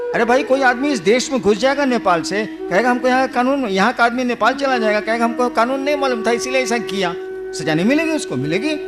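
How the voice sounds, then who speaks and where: Over music in the background, a man with an extremely high pitch speaks at a moderate pace, lively in intonation and with hardly any pauses. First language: Bhojpuri (speaking Hindi). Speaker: spiritual guru. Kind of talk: religious discourse.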